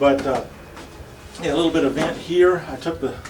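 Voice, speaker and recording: With music in the background and audible room echo, a man speaks at a fairly quick pace with ordinary pitch variation. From US South (Arkansas). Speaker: English teacher. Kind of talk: casual tour of office. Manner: hesitant with many fillers.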